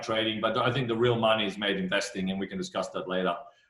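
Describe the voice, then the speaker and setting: An Australian accent with ordinary pitch variation, in audible room echo. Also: man. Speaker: fund manager. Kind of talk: interview. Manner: many fillers, repeats words.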